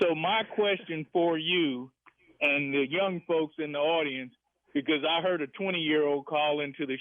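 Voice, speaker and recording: Speaking fairly slowly, a man with an unremarkable speaking voice keeps a fairly high pitch and ordinary pitch variation. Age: 60s. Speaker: radio caller. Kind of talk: call-in radio comment.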